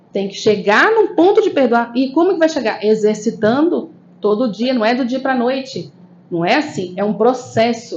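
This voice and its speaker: Speaking at a moderate pace with a northeastern Brazilian accent, this voice has lively intonation. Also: woman. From Brasília, Brazil, northeastern family. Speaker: spiritist lecturer and therapist. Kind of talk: spiritist lecture. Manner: conversational, frequent tag questions.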